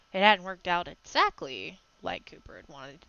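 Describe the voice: The plain reading aloud keeps a fairly even intonation.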